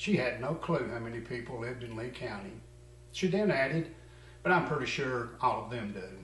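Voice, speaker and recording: A man with an American accent talks at a fairly quick pace with lively intonation and big swings in loudness over noticeable background noise. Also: medium pitch for a man. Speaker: comedy news anchor. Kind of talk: mock local TV news read.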